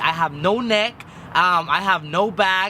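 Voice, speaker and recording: A man uses a raised, projected voice at a high pitch. Noticeable background noise comes through. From Mexico. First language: Spanish. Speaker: vlogger. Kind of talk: personal vlog.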